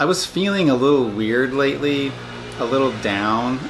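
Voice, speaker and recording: Moderately paced speech in lively intonation, against noticeable background noise. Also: man. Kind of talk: casual video diary talk to camera. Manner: hesitant, many filler words.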